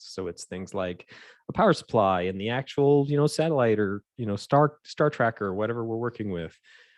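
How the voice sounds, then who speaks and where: Against a quiet background, someone talks at a very fast pace with ordinary pitch variation in a dry, close sound with no echo. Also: man. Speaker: aerospace software engineer. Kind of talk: technical presentation. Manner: rambling with fillers.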